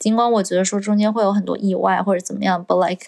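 A woman of medium pitch delivers her words in a monotone, flat intonation. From China. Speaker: podcast co-host, recent graduate. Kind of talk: casual chat. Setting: at home.

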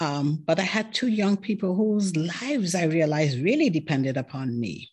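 With a non-native accent, a woman speaks at a moderate pace in a fairly low pitch with very wide pitch swings, against a quiet background. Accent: foreign-accented English, non-American. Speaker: podcaster and tech entrepreneur. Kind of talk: interview conversation.

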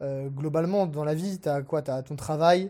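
On a very clean recording with a silent background, a man with a dark, mellow tone and fairly high pitch speaks at a fairly slow pace with fairly even intonation. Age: 20s. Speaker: entrepreneur. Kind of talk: casual interview chat.

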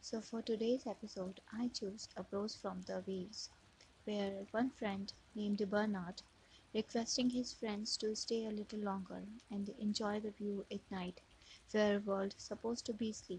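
A somewhat breathy voice, monotone and flat, at a moderate pace. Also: woman, medium pitch for a woman. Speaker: poetry podcast host. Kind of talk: reading aloud literary prose.

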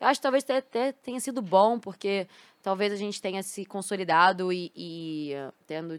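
An unremarkable speaking voice from a woman at medium pitch, with lively intonation at a moderate pace, in a dry, close sound with no echo on a very clean recording with a silent background. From Rio de Janeiro, Brazil (Botafogo). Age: 20s. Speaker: esports team CEO and former pro gamer. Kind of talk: casual interview. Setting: studio.

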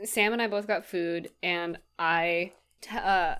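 The speaker is a woman with an ordinary speaking voice. Her intonation stays fairly even at a medium pitch. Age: 20s. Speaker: podcast co-host and teacher. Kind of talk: casual chat. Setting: video call.

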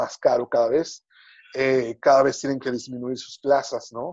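At a fairly slow pace, a man speaks in a flat monotone at a fairly high pitch. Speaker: entertainment reporter. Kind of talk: interview.

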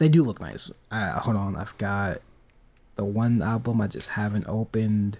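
The pitch rises and falls in an ordinary way. It is an ordinary speaking voice, moving at a medium speed. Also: man, fairly low pitch for a man. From United States. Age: 20s. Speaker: podcast co-host. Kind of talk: casual chat.

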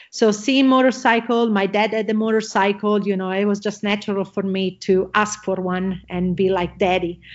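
At a moderate pace, a woman speaks at a medium pitch with an Italian accent. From Italy. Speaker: motocross champion and entrepreneur. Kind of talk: interview. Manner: excited.

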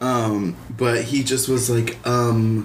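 A man speaks, and the room's echo is audible around his words. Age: 30s. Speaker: podcast co-host. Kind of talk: casual chat.

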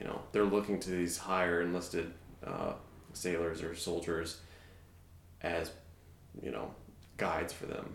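A man with a very deep, low pitch speaks at a fairly slow pace in a monotone, flat intonation. Long, frequent pauses break his speech, and there is audible room echo. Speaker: navy veteran and strength coach. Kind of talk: casual interview chat. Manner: quiet, measured.

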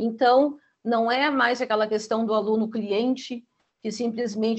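Her pace is moderate. The woman's voice sits at a fairly high pitch. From Rio Grande do Sul, Brazil. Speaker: school teaching coordinator. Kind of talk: interview.

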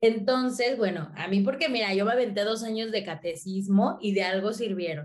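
A woman speaks at a medium pitch and a moderate pace, with ordinary pitch variation and hardly any pauses. Noticeable background noise and audible room echo surround her voice. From Mexico, working-class neighbourhood. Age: 20s. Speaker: content creator and comedian. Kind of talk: casual interview chat.

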